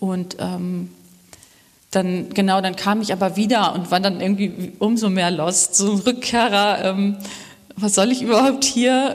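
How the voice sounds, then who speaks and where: In a room with audible echo and noticeable background noise, a woman of medium pitch speaks at a fairly slow pace with ordinary pitch variation. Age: 30s. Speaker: web developer, church member. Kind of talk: interview about faith journey during church service.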